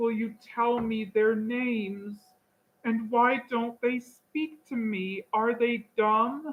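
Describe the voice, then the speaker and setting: Using a put-on character voice, a woman speaks at a very slow pace and fairly high pitch, shaky and timid in tone, with fairly even intonation. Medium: read story. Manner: timid, quavering.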